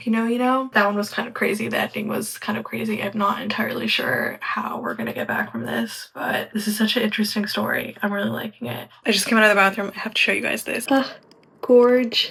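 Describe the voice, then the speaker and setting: Noticeable background noise fills the recording. Over it, a woman talks at a very fast pace. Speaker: book vlogger. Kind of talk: casual vlog narration. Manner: quiet, hushed.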